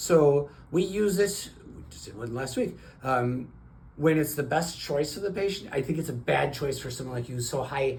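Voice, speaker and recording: Audible room echo surrounds a somewhat breathy man at a fairly high pitch, with ordinary pitch variation and big swings in loudness. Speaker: cardiologist. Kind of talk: doctor-patient consultation. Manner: fast.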